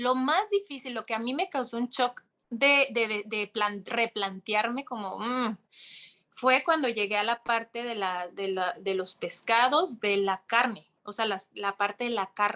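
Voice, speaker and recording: A woman speaks at a fairly high pitch in a Mexican accent, her tone bright, sharp and animated. The sound is dry and close with no echo. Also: ordinary pitch variation, fairly slow pace. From Mexico. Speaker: yoga instructor and content creator. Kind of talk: interview conversation.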